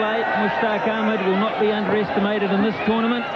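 This man talks at a fairly quick pace in a calm tone, his high pitch fairly even in intonation, with noticeable background noise behind him. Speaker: cricket commentator. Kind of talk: live cricket commentary. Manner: calm, fluent, descriptive.

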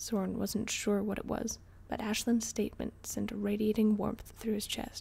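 Reading done in an unforced voice

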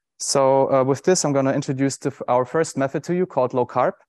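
A man speaks at a fairly quick pace with fairly even intonation. The sound is dry with no echo, and the background is quiet. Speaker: presenter. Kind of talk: conference talk. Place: stage.

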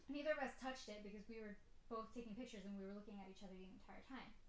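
Amid audible room echo, a woman talks in a fairly high pitch with ordinary pitch variation. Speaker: YouTuber. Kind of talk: casual story time, told in a spooky first-person ghost story. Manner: animated, conversational, tense and uneasy, with self-conscious laughs. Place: home room. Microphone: phone near.

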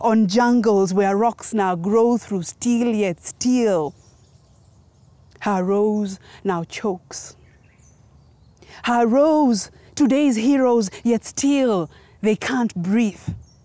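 A woman speaks very slowly with long, frequent pauses and very even loudness, her fairly high voice dark and mellow. Her pitch varies in an ordinary way, and the sound is dry with no echo. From Kenya. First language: Gikuyu. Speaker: spoken word poet. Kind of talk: poetry performance. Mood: solemn, impassioned. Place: open country.

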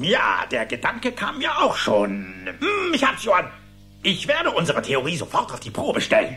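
A man puts on a cartoonish character voice, high-pitched with a bright, sharp tone and very wide pitch swings. He keeps a moderate pace over faint background music.

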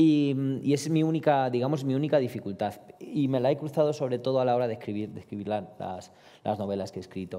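A man speaks very fast with a dark, mellow tone and a Romanian accent. His pitch varies in an ordinary way against a quiet background. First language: Romanian (speaking Spanish). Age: 30s. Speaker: poet. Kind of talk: panel discussion. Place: hall. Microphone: headset.

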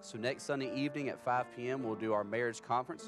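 Over clear music in the background, a man speaks at a very fast pace with ordinary pitch variation, the sound dry with no echo. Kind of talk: church announcements. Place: church.

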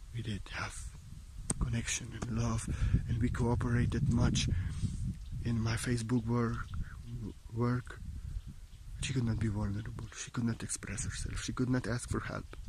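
A man speaks at a moderate pace with monotone, flat intonation, vocal fry and long, frequent pauses. The sound is dry with no echo, over noticeable background noise. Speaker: spiritual teacher. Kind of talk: spiritual monologue. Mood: calm, meditative, heartfelt. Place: forest. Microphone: phone near.

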